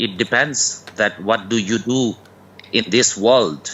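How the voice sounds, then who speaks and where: A man with a non-native accent speaks at medium pitch. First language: not English. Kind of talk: call-in religious debate. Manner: halting, many fillers.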